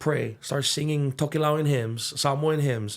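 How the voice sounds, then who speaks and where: In a Hawaiian accent, a man talks at a moderate pace with ordinary pitch variation on a very clean recording with a silent background. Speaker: musician and young adults ministry leader. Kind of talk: interview conversation. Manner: halting.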